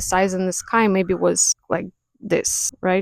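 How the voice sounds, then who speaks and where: A woman's medium-pitched voice at a fairly slow pace, in a dry, close sound with no echo and a very clean recording over a silent background. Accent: non-native. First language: not English. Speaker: spiritual content creator, clairvoyant. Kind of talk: casual talk to camera. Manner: unscripted, hesitant.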